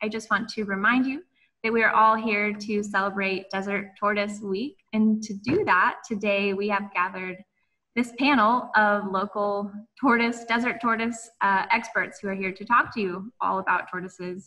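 Fairly even intonation and a moderate pace come through over a quiet background. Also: woman. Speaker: event host. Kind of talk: webinar host introduction. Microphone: video call.

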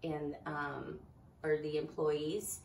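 A woman speaks at a very slow pace, with audible room echo and light background noise. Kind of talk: interview answer. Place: shop.

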